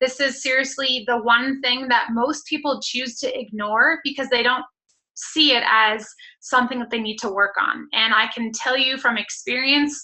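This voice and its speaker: A woman speaks in a high voice at a moderate pace, her intonation fairly even. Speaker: fitness business coach. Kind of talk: team call talk.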